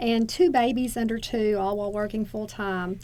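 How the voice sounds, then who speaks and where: A woman speaks in a Southern US accent. Her pitch is fairly high. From Northeast Arkansas, USA. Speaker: associate dean for nursing. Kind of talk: oral history interview answer.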